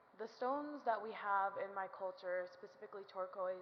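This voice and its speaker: An American accent comes from a woman at medium pitch, speaking at a fairly slow pace amid audible room echo. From Navajo Nation, US Southwest. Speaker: student speaker. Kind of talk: speech to audience. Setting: stage with audience. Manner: halting.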